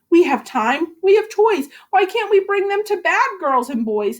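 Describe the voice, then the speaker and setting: A woman puts on a squeaky character voice, extremely high in pitch, swinging very widely up and down at a moderate pace. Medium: read story. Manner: grumpy, wisecracking.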